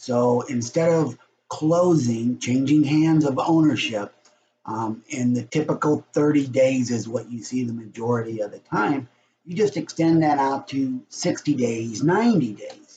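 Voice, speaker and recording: Speaking at a fairly slow pace, a man has a medium pitch, a dark, mellow tone, a somewhat breathy quality and ordinary pitch variation. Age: 60s. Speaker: realtor. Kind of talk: casual vlog. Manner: casual, chatty.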